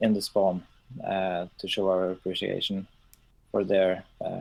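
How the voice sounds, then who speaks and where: With a Norwegian accent, a man speaks fairly slowly in a very deep, low pitch and a monotone, flat intonation. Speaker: game server owner. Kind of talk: live stream chat. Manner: halting, many fillers.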